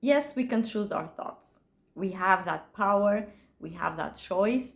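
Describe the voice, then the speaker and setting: The speech is very slow, with ordinary pitch variation and vocal fry. Loudness swings widely throughout. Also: woman, medium pitch for a woman. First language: Portuguese. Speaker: author. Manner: halting.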